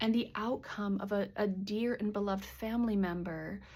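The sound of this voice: A woman speaks in a medium pitch at a moderate pace, her slightly mellow tone carrying ordinary pitch variation.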